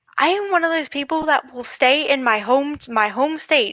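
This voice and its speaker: A woman's high, bright, sharp voice with very wide pitch swings and an American accent, dry and close with no echo. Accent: southern US, comes out at times. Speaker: livestream guest. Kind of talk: casual chat.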